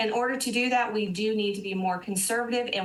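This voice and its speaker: A woman's fairly high voice at a moderate pace with ordinary pitch variation, amid audible room echo and noticeable background noise. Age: 60s. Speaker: financial advisor. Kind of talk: TV interview.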